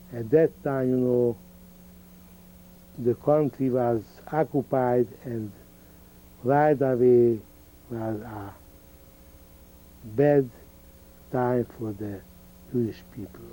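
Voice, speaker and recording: At a very slow pace with long, frequent pauses, a man talks at a medium pitch with fairly even intonation and big swings in loudness. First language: Hungarian. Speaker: Holocaust survivor. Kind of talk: oral history interview. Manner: halting.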